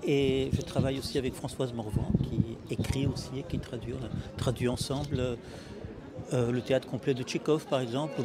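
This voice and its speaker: At a moderate pace, a man speaks in a monotone, flat intonation at medium pitch, with audible room echo and noticeable background noise. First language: Russian (speaking French). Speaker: writer and literary translator. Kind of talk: interview monologue. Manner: halting, with frequent hesitations and repetitions.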